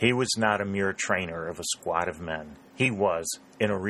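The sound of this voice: In an unforced reading voice, the pitch moves by a normal amount.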